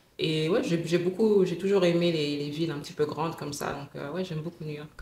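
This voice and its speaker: With noticeable background noise and audible room echo, a woman with a fairly low pitch speaks at a fairly quick pace and with fairly even intonation. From West Africa, mostly Dakar, Senegal. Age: 20s. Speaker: lawyer. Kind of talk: casual interview chat.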